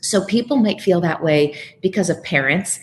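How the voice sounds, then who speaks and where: A somewhat breathy woman speaks at a moderate pace. Her pitch varies in an ordinary way. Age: 40s. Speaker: media trainer and author, former TV journalist. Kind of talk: interview. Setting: remote connection from California.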